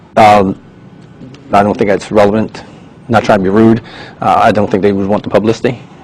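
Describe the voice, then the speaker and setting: Over noticeable background noise, a man speaks at a fairly quick pace in a fairly low, monotone voice with flat intonation and long, frequent pauses. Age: 60s. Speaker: private investigator testifying as a witness. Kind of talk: deposition testimony. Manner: hesitant, many fillers.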